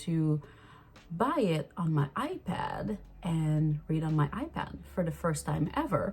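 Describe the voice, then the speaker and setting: With a Quebec accent, a woman speaks in a very deep, low, somewhat breathy voice with a dark, mellow tone and ordinary pitch variation. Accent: Québécois French accent in English. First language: French. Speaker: vlogger. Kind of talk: casual vlog chat.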